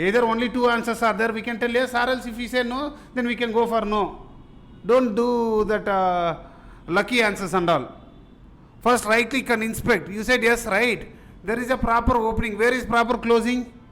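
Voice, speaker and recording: A man at an extremely high pitch, with fairly even intonation and a moderate pace, with audible room echo. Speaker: software testing instructor. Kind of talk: live class lecture.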